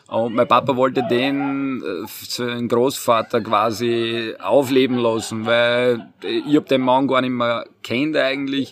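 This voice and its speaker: A man at a medium pitch, very slow and monotone with flat intonation, with hardly any pauses. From Austria, Burgenland (Purbach, Neusiedler See). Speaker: winemaker. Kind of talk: interview.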